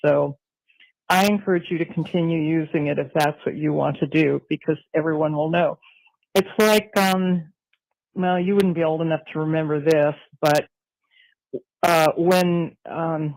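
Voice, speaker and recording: A woman's fairly low-pitched voice at a fairly slow pace, with fairly even intonation and long, frequent pauses. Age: 60s. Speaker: caller. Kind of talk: voicemail message.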